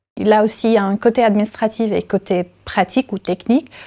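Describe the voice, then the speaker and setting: In a very clean recording with a silent background, a woman speaks at a moderate pace with a medium pitch, fairly even intonation and a dark, mellow tone. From Syria. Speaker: university technical secretary and stage manager. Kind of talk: interview testimony. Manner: halting, with frequent fillers.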